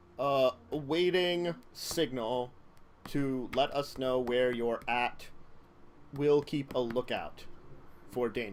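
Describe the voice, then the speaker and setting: Using a put-on character voice at a medium pitch, a man talks at a very slow pace with long, frequent pauses while clear background noise runs underneath. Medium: actual play.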